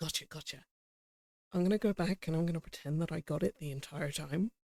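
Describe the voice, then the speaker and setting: Speaking at a very fast pace, a man with a British accent and a fairly high pitch shows ordinary pitch variation in a dry, close sound with no echo. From Britain. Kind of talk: casual chat.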